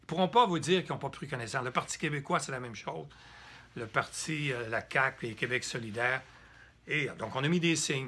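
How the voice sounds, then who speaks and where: A medium-pitched man at a fairly quick pace, with a bright, sharp tone. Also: ordinary pitch variation. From Quebec. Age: 70s. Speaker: political activist. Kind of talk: political address. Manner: halting.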